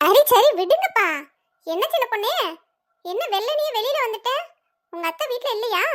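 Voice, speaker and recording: Putting on a cartoonish character voice, a woman squeaks at an extremely high pitch with lively intonation and a fairly slow pace. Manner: warm, chatty, easily amused.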